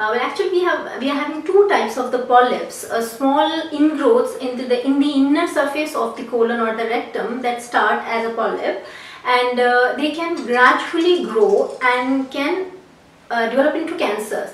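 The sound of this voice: The speech moves at a moderate pace. Room echo is audible. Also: woman, high pitch for a woman, ordinary pitch variation.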